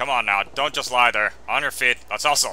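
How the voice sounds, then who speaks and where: A man puts on a gruff character voice at a medium pitch. He talks at a moderate pace over clear background noise. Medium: game stream. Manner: gruff, slangy.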